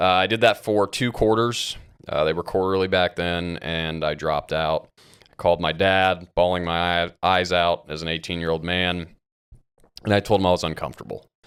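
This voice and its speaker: A man with an American accent speaks in a very deep, low voice with fairly even intonation, on a very clean recording with a silent background. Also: moderate pace. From US Midwest, Ohio (Columbus, Grandview Heights). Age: 30s. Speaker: addiction recovery advocate. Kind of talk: casual interview, personal testimony. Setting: podcast interview. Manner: casual, profane.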